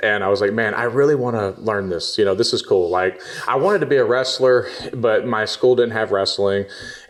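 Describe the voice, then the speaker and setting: Noticeable background noise sits behind a man with an American accent who speaks at a fairly quick pace. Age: 30s. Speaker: jiu-jitsu blue belt and social media personality. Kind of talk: casual podcast interview.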